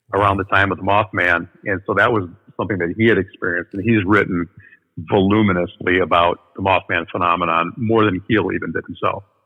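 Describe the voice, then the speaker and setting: A man with a Midwestern American accent speaks at a fairly quick pace. His pitch is very deep and low, and his intonation is monotone and flat. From US Midwest, northern Illinois. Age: 50s. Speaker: paranormal researcher. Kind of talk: interview.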